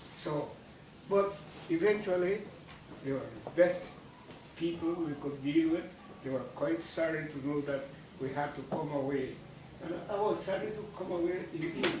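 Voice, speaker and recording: The speech moves at a moderate pace with long, frequent pauses and ordinary pitch variation. Noticeable background noise and audible room echo surround it. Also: man, high pitch for a man. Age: 80s+. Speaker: war veteran. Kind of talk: talk to school children. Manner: halting.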